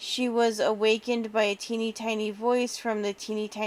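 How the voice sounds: What we hear is a natural reading voice.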